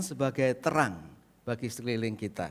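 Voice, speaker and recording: With lively intonation, a man talks in a Central Javanese accent on a very clean recording with a silent background. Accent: Central Javanese accent, unchanged. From Indonesia, Central Java. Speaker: pastor. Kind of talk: sermon. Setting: church.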